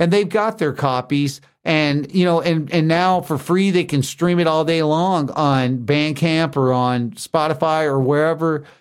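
With an American accent, a man in an ordinary speaking voice talks at a fairly slow pace with hardly any pauses, his pitch fairly high and his loudness very even, on a very clean recording with a silent background. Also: ordinary pitch variation. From US South. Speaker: musician and recording engineer. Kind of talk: casual interview.

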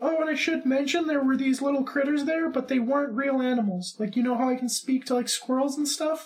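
A man uses a put-on character voice at an extremely high pitch. He talks at a fairly quick pace with hardly any pauses. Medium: actual play. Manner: chatty, emphatic.

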